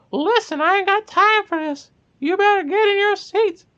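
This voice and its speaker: In a put-on character voice, a female-sounding voice speaks at an extremely high pitch and a moderate pace. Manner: stern, scolding.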